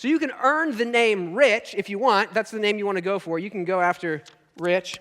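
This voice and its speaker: A man with an American accent speaks at a high pitch. His intonation is lively. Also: moderate pace. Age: 30s. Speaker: pastor. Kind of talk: sermon. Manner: conversational.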